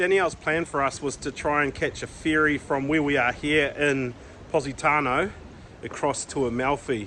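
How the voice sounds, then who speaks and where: Over noticeable background noise, a man with a fairly high voice speaks at a moderate pace. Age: 50s. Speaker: travel vlogger. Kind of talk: travel vlog narration.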